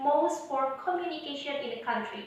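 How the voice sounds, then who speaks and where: The speaker is a woman. There's audible room echo and noticeable background noise. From Indonesia. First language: Indonesian. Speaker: English teacher. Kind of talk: online lesson.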